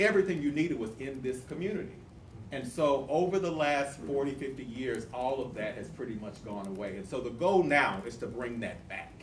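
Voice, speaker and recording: A man speaks with an American accent at medium pitch and a fairly quick pace. His intonation is lively, and audible room echo surrounds him. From US South, Tulsa, Oklahoma. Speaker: community nonprofit leader. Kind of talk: community presentation. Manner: fast.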